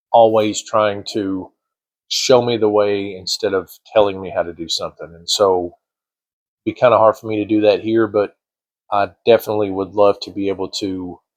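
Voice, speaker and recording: At a moderate pace, a man speaks in a fairly low, monotone, flat voice whose loudness swings widely. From small coal town. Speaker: retired state trooper. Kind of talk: casual talk to camera. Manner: rambling, hesitant.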